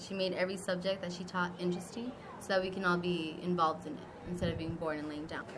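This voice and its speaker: A woman's fairly low, monotone voice with flat intonation at a fairly quick pace over noticeable background noise. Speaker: former student. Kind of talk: interview answer.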